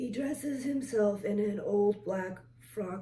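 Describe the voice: With ordinary pitch variation, the voice is plain reading aloud.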